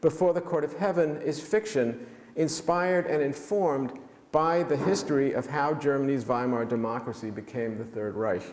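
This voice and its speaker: A man with a New York accent speaks at a fairly high pitch and a moderate pace with lively intonation, amid noticeable background noise and audible room echo. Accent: New York American. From New York City (Manhattan). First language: German. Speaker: author. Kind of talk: lecture. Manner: halting, many fillers.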